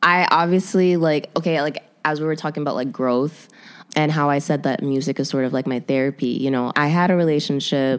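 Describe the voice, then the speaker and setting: A woman's very deep, low pitch with ordinary pitch variation, a fairly quick pace, and an American accent. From Chicago. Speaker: musician, rapper and model. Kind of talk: casual interview.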